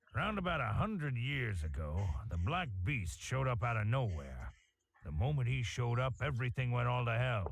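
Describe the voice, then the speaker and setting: In a put-on character voice, a man drawls with a rural American accent. His pitch is medium and his pace moderate. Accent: rural American drawl. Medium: video game. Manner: folksy, drawling.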